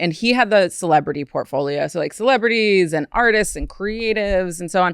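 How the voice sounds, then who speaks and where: A woman at a moderate pace, an unremarkable speaking voice. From Ohio, US Midwest. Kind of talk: casual podcast conversation. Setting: studio.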